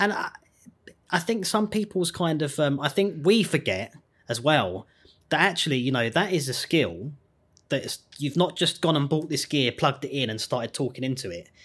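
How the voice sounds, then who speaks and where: With a southern English accent, a man speaks at a moderate pace in a fairly high pitch with vocal fry and very wide pitch swings, on a very clean recording with a silent background. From England, Surrey. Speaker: podcast host and composer. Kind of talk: casual interview chat.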